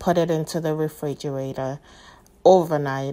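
A woman with a very deep, low pitch, monotone, flat intonation and a moderate pace. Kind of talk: tutorial. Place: kitchen.

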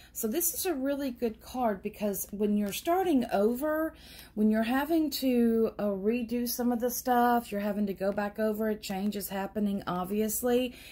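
A woman talks at a moderate pace with hardly any pauses and ordinary pitch variation. Her tone is dark, mellow and somewhat breathy. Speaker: tarot reader. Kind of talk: tarot reading commentary. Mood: calm and encouraging. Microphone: phone near.

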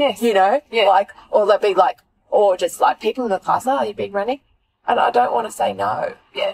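A woman with an Australian accent talks at a moderate pace, the sound dry and close with no echo. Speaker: podcast host. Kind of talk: casual chat. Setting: in a car.

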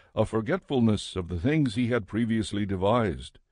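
A man's unremarkable speaking voice at a moderate pace, with lively intonation, over a quiet background. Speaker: audiobook narrator. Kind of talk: scripted scripture reading aloud, solemn audiobook narration of a biblical text. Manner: formal; measured, steady pace.

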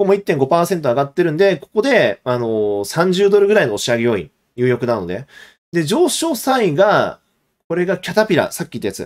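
Big swings in loudness and very wide pitch swings at a fairly quick pace, over a quiet background. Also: man, high pitch for a man. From Japan. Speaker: investment YouTuber, former securities broker; investment YouTuber. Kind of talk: live stream market analysis. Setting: live stream. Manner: casual, with filler words. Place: home room.

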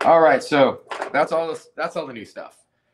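A man's fairly high voice moves at a moderate pace while noticeable background noise plays behind him. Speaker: shop owner; shop owner hosting a livestream. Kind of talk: casual live stream chat. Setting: in a store, live stream. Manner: animated. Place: shop. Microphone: webcam.

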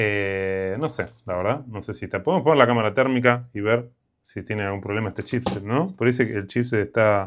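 A man's fairly low voice, moderate in pace, with ordinary pitch variation. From Argentina. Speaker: electronics repair youtuber. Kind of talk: casual repair tutorial. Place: workshop.

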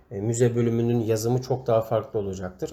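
A man speaks at a fairly quick pace in a medium-pitched voice. His tone is dark and mellow, and the recording is very clean with a silent background. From Turkey, Amasya. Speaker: website editor training writers. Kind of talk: tutorial.

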